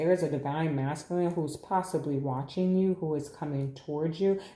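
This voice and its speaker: Room echo is audible around a woman with a very deep, low pitch. She speaks at a moderate pace with fairly even intonation. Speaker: tarot reader. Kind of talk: tarot reading. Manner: halting, repeats words.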